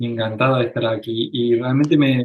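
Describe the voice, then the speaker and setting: A man talks fairly slowly in a medium-pitched voice with an Argentine accent. His intonation is monotone and flat. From Argentina. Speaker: psychologist. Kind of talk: interview. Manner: halting.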